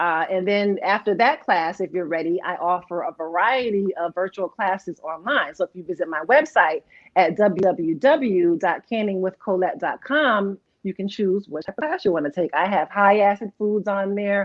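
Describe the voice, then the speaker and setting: A woman with an ordinary speaking voice talks at a moderate pace with ordinary pitch variation and hardly any pauses. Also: medium pitch for a woman. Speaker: canning instructor. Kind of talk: interview.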